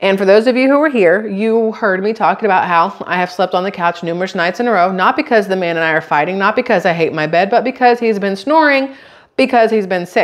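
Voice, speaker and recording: Over a quiet background, a woman rushes along at a very fast pace with hardly any pauses. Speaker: vlogger. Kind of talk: casual vlog chat. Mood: amused storytelling. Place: kitchen.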